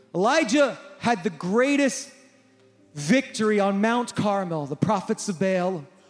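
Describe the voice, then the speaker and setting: Music plays behind a man with a high-pitched voice. His intonation is lively. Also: fairly slow pace. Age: 40s. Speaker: pastor. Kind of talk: sermon. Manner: animated.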